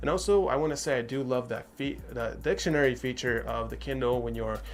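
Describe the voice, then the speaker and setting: With music in the background and audible room echo, a man speaks at a fairly quick pace in a non-native accent. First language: not English. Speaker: tech reviewer. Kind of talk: product review. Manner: casual, with fillers and false starts.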